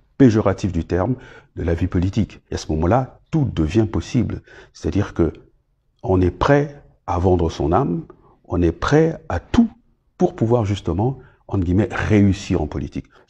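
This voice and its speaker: Against a quiet background, a man with a dark, mellow, somewhat breathy tone speaks at a fairly slow pace, with lively intonation and long, frequent pauses. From Republic of the Congo. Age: 60s. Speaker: politician, former minister. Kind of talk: interview monologue. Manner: hesitant, many fillers.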